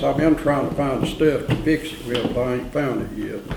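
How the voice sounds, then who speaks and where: With an Appalachian accent, a man talks at a moderate pace in a fairly high pitch with fairly even intonation, amid audible room echo and noticeable background noise. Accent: Appalachian Southern US. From Saluda, western North Carolina. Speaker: oral history interviewee. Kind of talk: oral history interview. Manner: casual storytelling.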